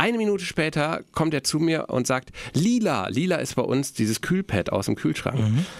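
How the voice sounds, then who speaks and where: A man's fairly high voice with very wide pitch swings, very even loudness and a moderate pace. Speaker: podcast host, father. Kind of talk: casual chat. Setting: radio station studio.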